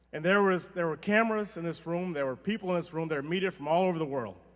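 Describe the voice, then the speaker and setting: Here a man speaks very fast in a high pitch with ordinary pitch variation. Noticeable background noise is present. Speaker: union leader and firefighter. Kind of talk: rally speech. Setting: stage with audience. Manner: animated.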